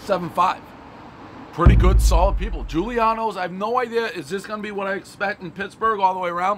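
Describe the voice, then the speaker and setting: The speech comes at a very fast pace over light background noise. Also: man. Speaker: food reviewer. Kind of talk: casual review commentary. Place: street. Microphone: camera far.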